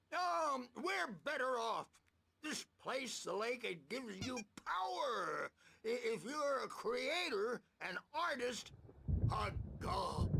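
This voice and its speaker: A man uses a put-on character voice at an extremely high pitch, with lively intonation, a raised, projected delivery, a very slow pace and long, frequent pauses. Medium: video game. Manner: rambling, drifting.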